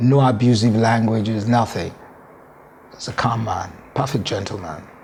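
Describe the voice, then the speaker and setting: The speech comes at a moderate pace with fairly even intonation. Noticeable background noise and audible room echo are present. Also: man, medium pitch for a man. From Nigeria, Yoruba southwest (Lagos, Ibadan, Abeokuta). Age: 60s. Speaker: former football administrator. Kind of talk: interview. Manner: code-switching Yoruba and English.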